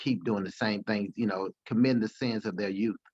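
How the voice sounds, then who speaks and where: A man's fairly low voice with fairly even intonation and a dry, close sound with no echo. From Alabama, US South. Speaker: podcast guest. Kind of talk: interview conversation. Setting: podcast. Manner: halting, many repetitions.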